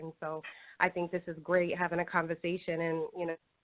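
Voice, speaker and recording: With a New England accent, a woman talks at a fairly quick pace in a medium-pitched voice. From Providence, Rhode Island. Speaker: caller. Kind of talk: call-in comment. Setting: phone call.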